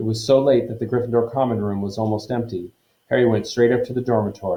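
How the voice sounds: Quiet surroundings behind a natural reading voice.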